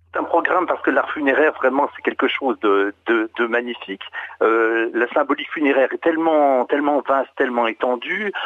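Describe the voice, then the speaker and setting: At a fairly quick pace, a man speaks with a fairly high pitch, ordinary pitch variation and very even loudness. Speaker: heritage association administrator. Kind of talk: radio interview. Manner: halting. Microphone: connection problems.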